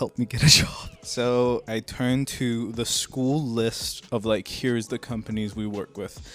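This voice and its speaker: Background noise is noticeable throughout. A man talks at a medium pitch. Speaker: YouTuber and musician. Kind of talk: casual storytelling from a stream. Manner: mumbling; animated.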